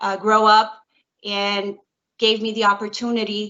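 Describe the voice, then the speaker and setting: In a New York accent, a woman with a fairly high voice speaks at a fairly slow pace. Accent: New York City English. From US Northeast (Bronx, New York City). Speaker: court interpreter. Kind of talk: career talk to students. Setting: video call.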